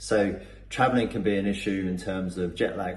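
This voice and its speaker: Audible room echo surrounds a man whose very deep, low voice is somewhat breathy and monotone, with flat intonation. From Cornwall, England. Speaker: performance coach. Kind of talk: testimonial. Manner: hesitant, many fillers and repetitions.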